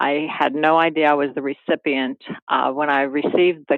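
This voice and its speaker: With a slight Carolina accent, a woman speaks at a moderate pace in a very deep, low pitch. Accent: slight Carolinian Southern. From Maryland. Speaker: private club executive. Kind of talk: interview. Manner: halting.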